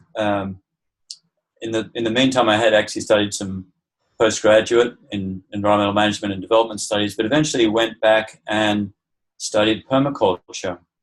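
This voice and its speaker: With an Australian accent, a man talks at a fairly quick pace in a fairly low pitch, his intonation monotone and flat. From Australia, also Southeast Asia and US. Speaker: permaculture teacher. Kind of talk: interview.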